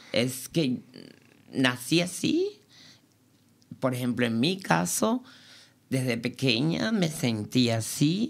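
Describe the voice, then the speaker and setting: A woman with a Cuban accent, very deep and low-pitched, at a very slow pace with long, frequent pauses, very wide pitch swings and very even loudness. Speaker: dancer. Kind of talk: interview.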